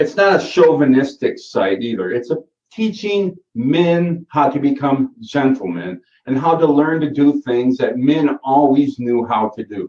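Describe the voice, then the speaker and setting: His pitch is fairly high and swings very widely. The man speaks at a fairly slow pace. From Michigan. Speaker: SEO course instructor. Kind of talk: live Q&A session. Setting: live online call. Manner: casual, with frequent fillers.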